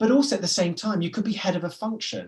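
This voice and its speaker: The speaker uses a British accent with ordinary pitch variation. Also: man. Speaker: business forum managing director. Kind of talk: webinar presentation. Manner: fast; animated.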